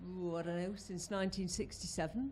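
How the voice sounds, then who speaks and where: A woman's voice sits at a medium pitch and sounds somewhat breathy. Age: 70s. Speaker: retired teacher, audience member. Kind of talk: audience comment at public talk.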